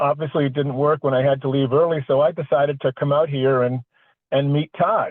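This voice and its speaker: At a fairly quick pace, a man with a normal speaking voice talks at a fairly high pitch with fairly even intonation and very even loudness. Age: 60s. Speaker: podcast host. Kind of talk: casual chat.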